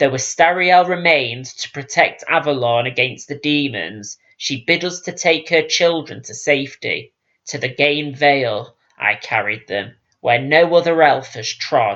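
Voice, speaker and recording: A soft-spoken man's put-on character voice, fairly high in pitch, at a moderate pace. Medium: read story. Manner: gentle, measured.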